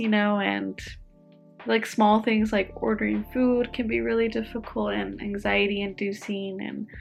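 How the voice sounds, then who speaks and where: With music playing behind her, she speaks fairly slowly. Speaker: speech language pathologist. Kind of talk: casual talk to camera.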